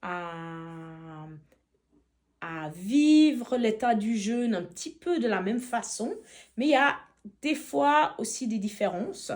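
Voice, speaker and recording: A woman speaks very slowly, leaving long, frequent pauses, as her pitch swings very widely. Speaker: feng shui consultant, fasting retreat participant. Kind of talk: testimony. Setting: retreat in Montenegro. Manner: halting.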